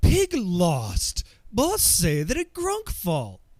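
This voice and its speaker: Delivered very slowly, the voice is a put-on character voice. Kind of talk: primitive, broken grammar.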